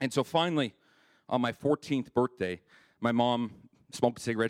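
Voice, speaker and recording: A man at medium pitch and a fairly quick pace, on a very clean recording with a silent background and a dry, close sound with no echo. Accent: Canadian. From Canada, Winnipeg. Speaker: church member sharing testimony. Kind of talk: testimony.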